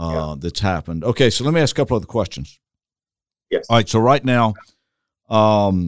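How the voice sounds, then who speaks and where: In a very clean recording with a silent background, a man with a Southern US accent speaks with lively intonation. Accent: Southern US drawl. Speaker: church consultant podcast host. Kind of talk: interview, podcast conversation. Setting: video podcast recording.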